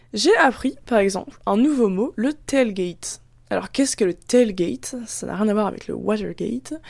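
Her fairly high pitch and lively intonation mark this woman's plain, everyday voice, delivered at a moderate pace. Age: 20s. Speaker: student podcast host. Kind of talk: casual narration; casual interview.

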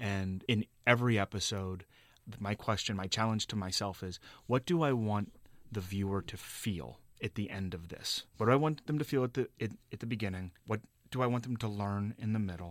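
A man's unremarkable speaking voice with an American accent, fairly low in pitch, with ordinary pitch variation at a moderate pace on a very clean recording with a silent background. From Cincinnati, Ohio. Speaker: documentary producer. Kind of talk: radio interview. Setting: studio.

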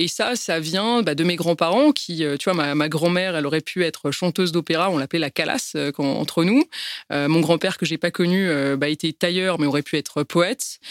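The sound is dry and close with no echo as a woman with a fairly low pitch speaks at a moderate pace. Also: ordinary pitch variation. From France, Paris. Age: 30s. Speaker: business executive. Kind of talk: testimony. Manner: halting.

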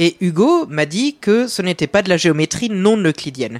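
Recorded with a dry, close sound and no echo, a man with a slight Belgian accent speaks with very wide pitch swings. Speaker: math columnist. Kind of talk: casual explanatory panel chat.

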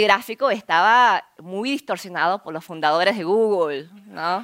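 A woman at medium pitch with ordinary pitch variation. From Argentina, Buenos Aires. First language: Korean (speaking Spanish). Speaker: entrepreneur and scientist giving a talk. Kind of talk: conference talk.

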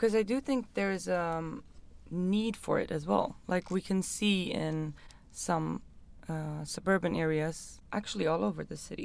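At a fairly slow pace, a woman with a Swedish accent uses lively intonation at a fairly low pitch. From Stockholm, Sweden. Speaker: podcast host, urban planner. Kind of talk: interview. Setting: small studio room.

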